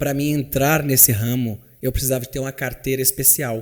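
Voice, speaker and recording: A man with a normal speaking voice talks at a fairly quick pace and medium pitch, his intonation fairly even, in a very clean recording with a silent background. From Minas Gerais, Brazil. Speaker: chauffeur. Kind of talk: interview answer.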